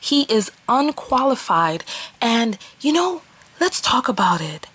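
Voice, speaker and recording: Over noticeable background noise, a woman speaks with a strong New York accent in an animated tone. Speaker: vlogger and relationship coach. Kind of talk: opinion vlog monologue.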